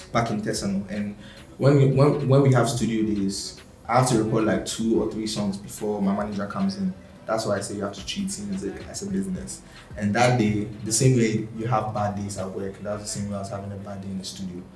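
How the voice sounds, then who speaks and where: A man's fairly low voice at a fairly quick pace, with ordinary pitch variation, big swings in loudness, audible room echo and noticeable background noise. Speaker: musician. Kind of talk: interview. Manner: fast.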